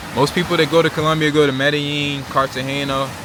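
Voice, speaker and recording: At a moderate pace, a man with an American accent talks at a fairly high pitch over noticeable background noise. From Virginia Beach, Virginia, US. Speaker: travel vlogger. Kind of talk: casual vlog monologue. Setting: eating while filming. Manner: animated, conversational.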